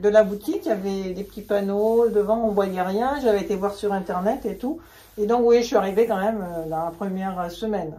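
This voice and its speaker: A woman talks at a moderate pace and medium pitch with ordinary pitch variation, in an ordinary speaking voice. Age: 60s. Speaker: knitting hobbyist and shop customer. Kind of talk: casual interview chat.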